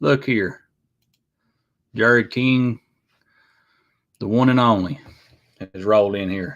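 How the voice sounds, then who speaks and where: In a strong Appalachian accent, a medium-pitched man talks at a moderate pace with ordinary pitch variation against a quiet background. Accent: thick Appalachian. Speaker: YouTube livestream host. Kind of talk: casual chat. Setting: live stream. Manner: halting, many fillers.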